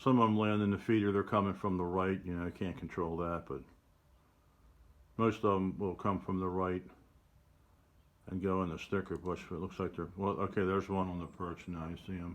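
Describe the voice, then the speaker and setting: A man's very deep, low voice at a fairly quick pace, with fairly even intonation and long, frequent pauses. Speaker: bird photographer. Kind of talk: casual talk to camera.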